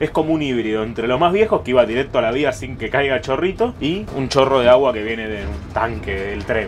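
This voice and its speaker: A man speaks in a Rioplatense accent at a moderate pace. His pitch swings very widely, with light background noise. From Argentina. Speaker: travel vlogger. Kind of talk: travel vlog narration. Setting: on a train. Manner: animated. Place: train. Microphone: phone near.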